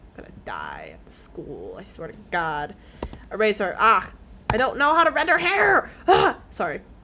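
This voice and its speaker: A woman talks at a moderate pace with big swings in loudness. Noticeable background noise runs underneath. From Canada. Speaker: streamer. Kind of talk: casual chat. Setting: live stream. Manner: animated.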